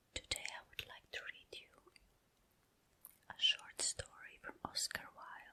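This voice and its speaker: The voice whispers at a very slow pace. Long pauses come often. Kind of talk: casual ASMR intro to listener. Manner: whispered, soft-spoken.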